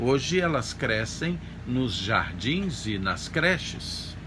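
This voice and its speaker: A man talks at a very slow pace with very wide pitch swings and vocal fry. His tone is bright and sharp, and audible room echo surrounds it. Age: 60s. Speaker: pastor. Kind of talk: sermon. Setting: church service streamed online.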